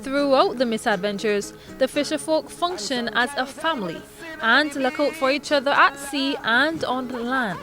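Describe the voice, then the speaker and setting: A raised, projected voice at a moderate pace with ordinary pitch variation over music in the background. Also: woman, high pitch for a woman. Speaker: news reporter. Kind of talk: news report narration.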